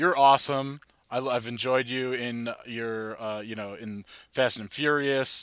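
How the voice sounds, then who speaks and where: In a very clean recording with a silent background, a man with an American accent and a normal speaking voice talks at a fairly slow pace, his intonation fairly even but his loudness swinging widely. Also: medium pitch for a man. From New Jersey, New York suburbs. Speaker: podcast host. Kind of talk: casual chat. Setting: basement bar.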